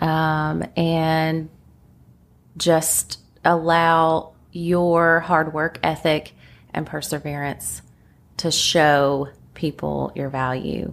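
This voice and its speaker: Spoken with a Kentucky accent at a very slow pace, this flat, monotone delivery has long, frequent pauses and comes through in a very clean recording with a silent background. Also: woman, very deep, low pitch for a woman. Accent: Kentucky country. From Kentucky, Lexington. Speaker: real estate agent. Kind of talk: casual interview chat. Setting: podcast recording. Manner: slightly nervous.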